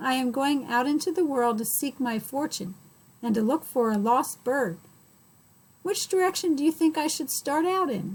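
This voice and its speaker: A woman performs a put-on character voice at a high pitch. Her pace is moderate. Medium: read story. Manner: polite.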